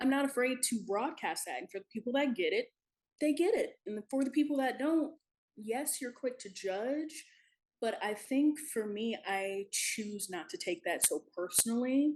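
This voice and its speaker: A woman's loud, high voice at a moderate pace, with very wide pitch swings. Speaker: talk show guest. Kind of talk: casual chat. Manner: animated.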